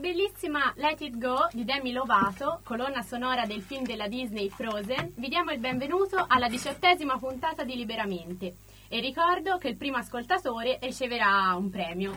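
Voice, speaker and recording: Her pitch is high and swings very widely at a fairly quick pace. Noticeable background noise sits behind this woman. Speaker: radio co-host. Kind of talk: casual radio chat. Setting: studio.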